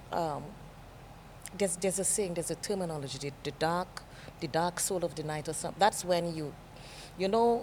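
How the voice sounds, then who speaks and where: A woman speaks with a Caribbean accent at a fairly low pitch and a fairly quick pace. Her pitch variation is ordinary, and her pauses are long and frequent. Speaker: TV presenter. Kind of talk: interview. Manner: calm.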